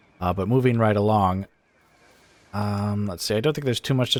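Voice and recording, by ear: The man's nasal voice sits fairly low in pitch, and his intonation stays fairly even.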